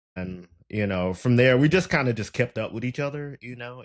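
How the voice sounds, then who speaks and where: A man with a Southern US accent at a moderate pace. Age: 20s. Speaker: podcast host. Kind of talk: casual interview.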